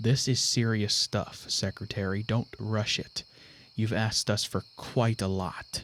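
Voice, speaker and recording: In a put-on character voice, a man drawls at a fairly slow pace and medium pitch, recorded very clean against a silent background with a dry, close sound and no echo. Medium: read story. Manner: slow folksy drawl.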